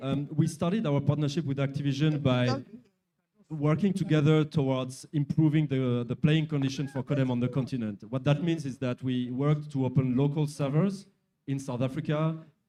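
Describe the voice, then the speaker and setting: Speaking with a French accent, a man talks at a moderate pace in a fairly high pitch with fairly even intonation. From France. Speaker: company executive. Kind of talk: interview. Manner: halting.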